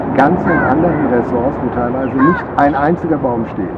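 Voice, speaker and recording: Loud background noise surrounds a man who talks at a moderate pace. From Germany. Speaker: resort guest; guest. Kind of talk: testimonial. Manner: halting, many fillers. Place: garden.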